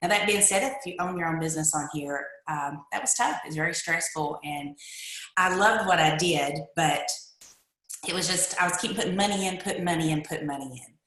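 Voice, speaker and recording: Amid audible room echo, a woman talks at a fairly quick pace and fairly low pitch in a Kentucky accent. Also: ordinary pitch variation. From eastern Kentucky. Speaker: network marketer. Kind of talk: testimony. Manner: animated.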